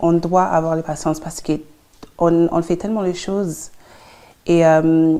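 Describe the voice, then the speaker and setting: A woman's fairly low voice, very slow and monotone with flat intonation. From London, England (Congolese family). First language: English (speaking French). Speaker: psychologist and entrepreneur. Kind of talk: interview. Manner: halting, many hesitations.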